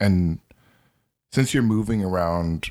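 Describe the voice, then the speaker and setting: In a very clean recording with a silent background, a man talks in a very deep, low pitch. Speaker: podcast co-host. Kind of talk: casual conversation, podcast discussion.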